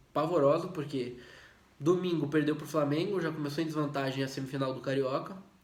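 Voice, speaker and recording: A man's fairly high voice at a fairly quick pace, with fairly even intonation and audible room echo. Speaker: football commentator YouTuber. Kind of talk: casual video commentary. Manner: hesitant, repeats words.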